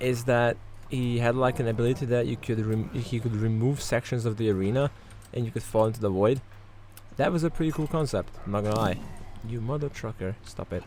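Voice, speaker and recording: Over music in the background, a man talks at a fairly quick pace and medium pitch. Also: ordinary pitch variation. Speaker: gaming YouTuber. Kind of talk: let's play commentary. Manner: casual, animated.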